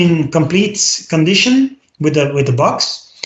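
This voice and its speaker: A man with a Flemish accent, at a moderate pace. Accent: Belgian (Flemish) English. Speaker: podcast co-host. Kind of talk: casual chat. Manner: halting, many fillers and repetitions.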